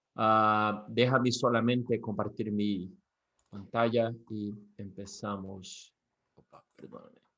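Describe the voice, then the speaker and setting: The speaker has a bright, sharp tone and a Brazilian accent, talking at a very slow pace. Intonation stays monotone and flat while loudness swings a lot. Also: man, fairly low pitch for a man. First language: Portuguese (speaking Spanish). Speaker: business executive. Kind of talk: presentation. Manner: halting, with repetitions.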